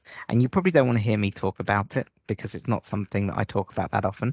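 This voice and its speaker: A man with a British accent at a very fast pace, the sound dry and close with no echo. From UK. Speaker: data analytics presenter. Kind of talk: tutorial.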